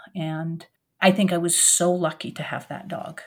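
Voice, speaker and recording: A woman with an American accent speaks at a moderate pace and a medium pitch. She has an unremarkable speaking voice, captured on a very clean recording with a silent background. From Oregon. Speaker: author and retired professor. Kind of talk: interview.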